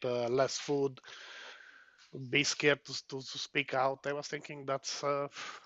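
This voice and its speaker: A man with a Hungarian accent speaks at medium pitch. His pace is moderate and his intonation is monotone and flat. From Romania, Hungarian minority. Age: 50s. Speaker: trucker and protester. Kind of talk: interview. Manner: halting.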